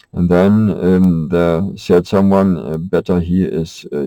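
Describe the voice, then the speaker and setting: Very slowly, a man with a German accent speaks in a very deep, low voice with a dark, mellow tone, the sound dry and close with no echo. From Germany. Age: 50s. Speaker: vlogger. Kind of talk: personal monologue. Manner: halting.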